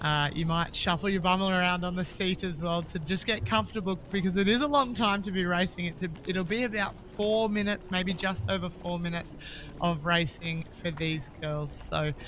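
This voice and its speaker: A woman with a strong Australian accent, fairly low in pitch, at a moderate pace. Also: ordinary pitch variation, hardly any pauses. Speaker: sports commentator, former paddler. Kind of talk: live commentary.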